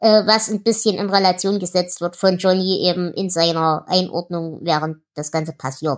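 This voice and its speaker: She has a normal speaking voice at medium pitch. The woman's intonation is fairly even, with hardly any pauses. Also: moderate pace. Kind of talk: casual chat.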